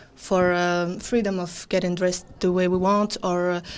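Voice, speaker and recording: A woman's medium-pitched voice with a non-native accent, at a moderate pace, in a very clean recording with a silent background. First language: not English. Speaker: band frontwoman, musician. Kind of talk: interview. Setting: on location at a music fair. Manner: halting, many fillers.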